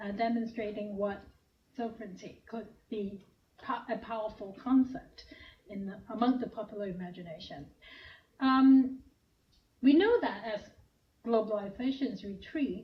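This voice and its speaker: Somewhat breathy and fairly high-pitched, a woman speaks at a moderate pace with long, frequent pauses, big swings in loudness, ordinary pitch variation and audible room echo. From Hong Kong. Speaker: professor. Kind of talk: lecture.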